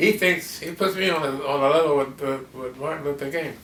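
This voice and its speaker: A man's fairly high voice at a moderate pace, with ordinary pitch variation and noticeable background noise. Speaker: cartoonist. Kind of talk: interview answer. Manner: hesitant, halting.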